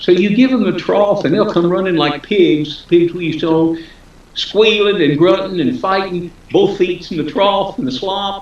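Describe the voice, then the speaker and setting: Over noticeable background noise, a man with an American accent talks at a moderate pace with very wide pitch swings. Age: 70s. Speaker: author. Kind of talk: interview.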